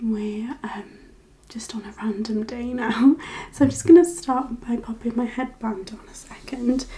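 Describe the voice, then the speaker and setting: Soft-spoken and gentle in tone, a woman with a fairly high pitch talks at a fairly slow pace with fairly even intonation. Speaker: ASMR creator. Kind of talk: ASMR makeup tutorial, casual talk to camera. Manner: softly spoken, gentle, relaxing.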